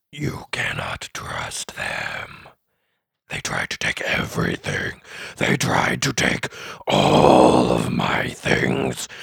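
A put-on character voice from a man, raspy and very slow. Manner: wistful, bitter, quieter.

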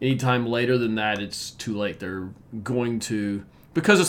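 Speaking at a moderate pace, a man has an unremarkable speaking voice that sits fairly low in pitch with ordinary pitch variation. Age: 50s. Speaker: podcast host, coach and engineer. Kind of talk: solo podcast monologue.

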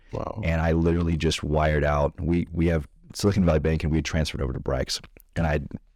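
Very deep and low, a man's voice carries vocal fry in a very clean recording with a silent background. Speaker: podcast host. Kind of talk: casual chat.

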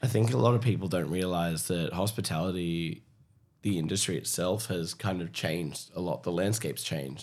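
With an Australian accent, a man talks at a fairly quick pace in a very deep, low voice with vocal fry. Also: ordinary pitch variation. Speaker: podcast host and spirits educator. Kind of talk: casual chat.

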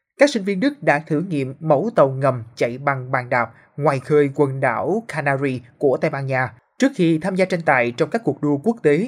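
A man talks at a moderate pace in a plain, everyday voice, fairly high pitched with ordinary pitch variation. The recording is very clean, with a silent background. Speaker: news reporter. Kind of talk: news reading.

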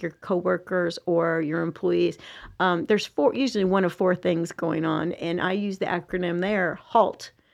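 A woman's fairly low voice with ordinary pitch variation, a plain, everyday voice, against a quiet background. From US South. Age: 50s. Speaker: executive coach. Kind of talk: casual chat. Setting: studio.

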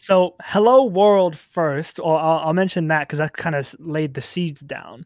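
A man's fairly high voice with an American accent, at a moderate pace with ordinary pitch variation, in a very clean, dry, close recording with no echo and a silent background. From US Midwest, small-town Iowa. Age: 20s. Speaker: singer-songwriter. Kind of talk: casual interview. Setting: radio studio.

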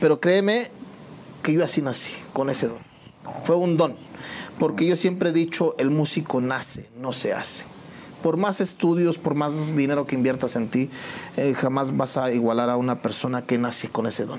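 At a moderate pace with long, frequent pauses, a man with a fairly high pitch and ordinary pitch variation talks over noticeable background noise. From Mexico, State of Mexico (Temascalcingo). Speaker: musician. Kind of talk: interview.

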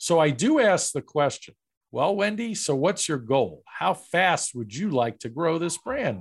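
On a very clean recording with a silent background, a man with a fairly high pitch speaks at a fairly slow pace with very wide pitch swings. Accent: American. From New York. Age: 50s. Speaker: franchise broker. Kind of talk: interview.

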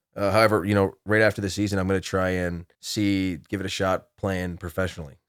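A man with a very deep, low pitch talks at a fairly quick pace on a very clean recording with a silent background. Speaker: college football player. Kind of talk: interview. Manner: halting, many fillers.

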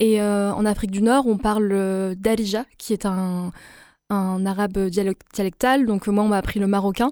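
A woman with a dark, mellow tone speaks at a very slow pace, her loudness very even and her intonation fairly even. The recording is very clean, with a silent background. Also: medium pitch for a woman. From France, Avignon (Moroccan family). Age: 20s. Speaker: podcast creator. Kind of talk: radio interview.

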